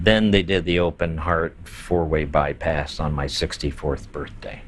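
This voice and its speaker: A man with an American accent speaks at a fairly slow pace in a very deep, low voice with fairly even intonation. Background noise is noticeable. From US, Baltimore. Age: 70s. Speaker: drag performer and long-term HIV survivor. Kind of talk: documentary interview, personal testimony. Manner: halting, many fillers and repetitions.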